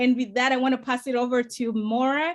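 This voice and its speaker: This woman's high-pitched voice moves at a moderate pace. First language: not English. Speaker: political candidate and TV producer. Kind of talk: panel discussion.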